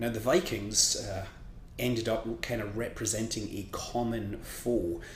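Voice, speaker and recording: A somewhat breathy man speaks at a fairly slow pace, with audible room echo. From Scotland. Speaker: history commentator. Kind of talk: casual explainer monologue. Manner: hesitant, many fillers.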